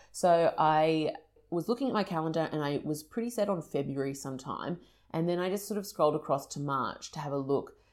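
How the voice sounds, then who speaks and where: In a very clean recording with a silent background, a woman with an Australian accent talks at a moderate pace, her very deep, low pitch showing ordinary variation. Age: 30s. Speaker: podcast host. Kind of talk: solo monologue. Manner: casual, chatty.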